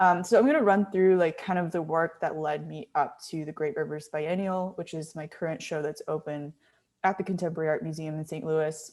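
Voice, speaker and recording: Using an unremarkable speaking voice, a woman with an American accent speaks at a fairly quick pace and a fairly low pitch, with fairly even intonation and big swings in loudness. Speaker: visual artist, sculptor. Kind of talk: artist talk presentation. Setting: video call with screen share. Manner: casual, many fillers.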